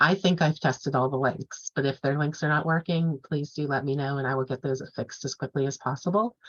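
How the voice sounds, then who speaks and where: Her pitch is very deep and low for a woman, with ordinary variation. She talks at a fairly quick pace. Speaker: course instructor. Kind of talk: online class lecture. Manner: fast; casual, filler-heavy.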